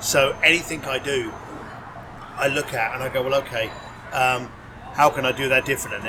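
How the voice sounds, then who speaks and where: Speech broken by long, frequent pauses comes with noticeable background noise. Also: man. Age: 50s. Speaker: concierge business founder. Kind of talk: interview conversation.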